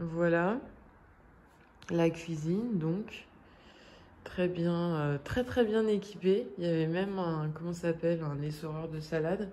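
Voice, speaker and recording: A woman talks very slowly at a fairly low pitch. She leaves long, frequent pauses. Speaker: vlogger. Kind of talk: vlog. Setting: indoors, rented flat. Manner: hesitant, many fillers.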